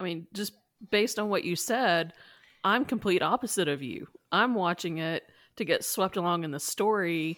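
A woman speaks at a moderate pace in an ordinary speaking voice, her medium pitch carried by lively intonation. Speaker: podcast co-host. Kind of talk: casual chat about Star Trek.

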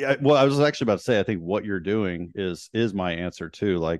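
Over a quiet background, the sound comes across dry and close, without any echo. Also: man. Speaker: guest, friend and neighbor of the host. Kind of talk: casual chat.

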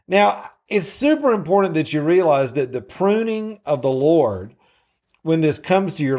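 With a Southern US accent, a man with a fairly high pitch speaks at a moderate pace with very wide pitch swings, recorded very cleanly against a silent background. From US South. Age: 50s. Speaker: Bible teacher. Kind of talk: Bible teaching. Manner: halting.

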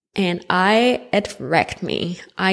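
The voice belongs to a woman. It sits at a medium pitch. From Montreal, Quebec, Canada. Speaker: podcast host. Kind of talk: personal testimony. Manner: animated.

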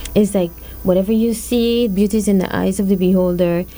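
Noticeable background noise sits behind speech at a moderate pace with ordinary pitch variation. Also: woman. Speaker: co-producer and guest host. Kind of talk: casual interview chat. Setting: studio.

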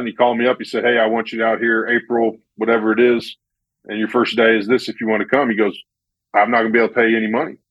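A man rattles along at a very fast pace with a medium pitch. His intonation is monotone and flat. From US Midwest, central Illinois. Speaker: basketball coach. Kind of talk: casual interview.

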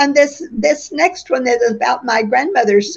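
A woman speaks with an Oklahoma accent. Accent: Oklahoma US Southern-Midwestern. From western Oklahoma. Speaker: author, retired teacher. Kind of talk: interview. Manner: halting, with fillers and repeats.

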